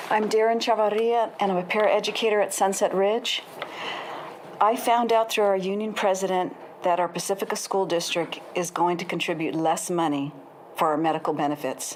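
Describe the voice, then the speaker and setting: A woman speaks at medium pitch and a moderate pace with ordinary pitch variation, over noticeable background noise. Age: 60s. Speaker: paraeducator, public commenter. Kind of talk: public comment at board meeting. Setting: school board meeting.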